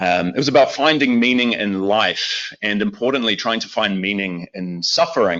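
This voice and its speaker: Lively intonation runs through a man's fairly low voice. His pace is moderate. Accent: New Zealand. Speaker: lay preacher. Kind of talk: sermon. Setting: church with congregation, also streamed online. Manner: hesitant, many fillers.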